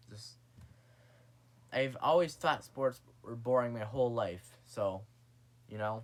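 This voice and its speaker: A man mumbles at a fairly slow pace, with long, frequent pauses and big swings in loudness. His pitch is medium and varies in an ordinary way. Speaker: vlogger. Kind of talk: casual vlog monologue. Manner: mumbling; halting.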